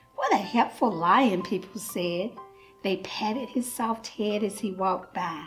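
Delivered at a moderate pace, the speech has faint music in the background. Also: woman. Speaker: church volunteer storyteller. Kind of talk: children's picture-book read-aloud. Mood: warm, gentle, smiling.

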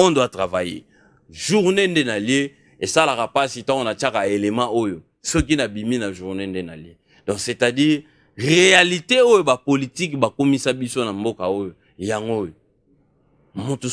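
Against a quiet background, a man with a medium pitch talks at a fairly slow pace, leaving long, frequent pauses as his pitch swings very widely. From DR Congo. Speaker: tv talk show host. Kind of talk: political interview. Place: studio. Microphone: studio mic.

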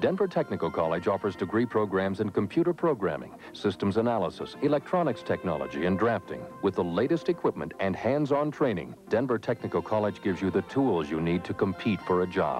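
Over clear background music, a man with a fairly low voice talks fairly quickly with hardly any pauses, in a dry recording with no echo. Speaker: commercial announcer. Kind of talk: advertising voice-over. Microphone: old recording.

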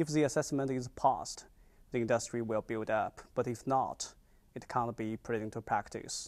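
Moving at a moderate pace, a man talks with fairly even intonation. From China. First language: Chinese. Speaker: visiting scholar, environmental chemist. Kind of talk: interview. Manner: halting. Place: studio. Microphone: lapel.

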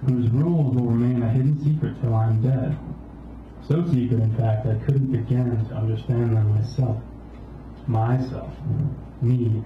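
Heard with audible room echo and light background noise, a man speaks with fairly even intonation. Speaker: poet. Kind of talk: spoken-word poetry reading. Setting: open mic in cafe. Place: cafe.

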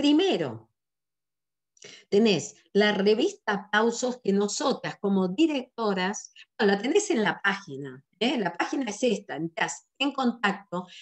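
At a fairly slow pace, a woman in a Rioplatense accent speaks with an animated tone, her medium pitch swinging very widely. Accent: Argentine Rioplatense Spanish. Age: 60s. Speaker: sales director and business trainer. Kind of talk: online business training presentation.

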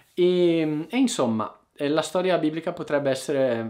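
The speech has lively intonation over a quiet background. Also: man. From Italy. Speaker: online Italian teacher; language teacher youtuber. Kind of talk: casual monologue to viewers; casual vlog chat. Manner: informal, with hesitations. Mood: reflective, warm. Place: home room.

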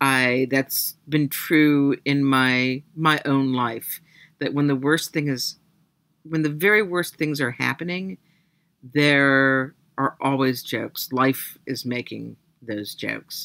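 In a dry sound with no echo and a quiet background, a woman speaks very slowly at a very deep, low pitch with ordinary pitch variation. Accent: American. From US, Massachusetts. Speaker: novelist. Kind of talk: interview. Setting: video call. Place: home room. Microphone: webcam.

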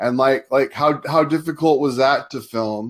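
This man has an ordinary speaking voice with an American accent. His pitch is fairly high and his pace fairly slow. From Southern California, US. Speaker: online show host and film reviewer. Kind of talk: casual interview chat. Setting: live stream broadcast.

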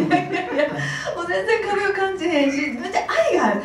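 A woman talks at a fairly quick pace. The room echo is audible, and there is light background noise. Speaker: actress. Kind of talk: press conference interview answer. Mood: warm, cheerful, praising. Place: hall.

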